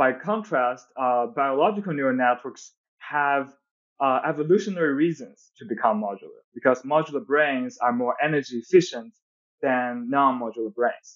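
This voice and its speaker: A man speaks at a moderate pace with a Chinese accent and a fairly high pitch. His pitch varies an ordinary amount, and the background is quiet. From China. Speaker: physics PhD researcher; podcast guest. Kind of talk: technical interview. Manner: hesitant, many fillers. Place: home room. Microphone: earbuds.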